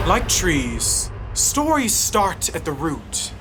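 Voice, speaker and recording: Noticeable background noise is audible throughout. A woman talks very slowly over it. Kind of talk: spoken word poetry reading.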